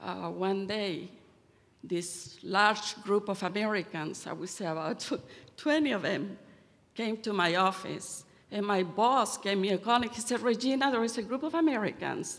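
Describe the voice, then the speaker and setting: Moderate pacing from a woman with a medium pitch. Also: ordinary pitch variation. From Chile. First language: Spanish. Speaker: church member giving testimony. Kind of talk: testimony.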